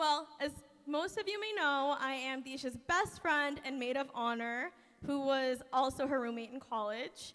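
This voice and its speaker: A woman's raised, projected voice, high-pitched, at a moderate pace. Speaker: maid of honor. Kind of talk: wedding speech. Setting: wedding reception with audience. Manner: loud.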